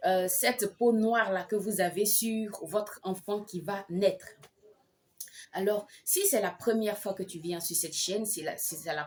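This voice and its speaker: This woman talks at a moderate speed, and her pitch varies in an ordinary way. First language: an African language (not French) (speaking French). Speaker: midwife and health vlogger. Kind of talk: vlog advice talk with personal story. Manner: hesitant, many fillers.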